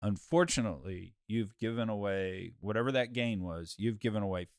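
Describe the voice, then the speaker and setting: Here a man uses a normal speaking voice, fairly low in pitch, at a moderate pace. The sound is dry and close with no echo, and the recording is very clean with a silent background. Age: 50s. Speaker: podcast host. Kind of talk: casual chat. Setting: studio. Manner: laughs often.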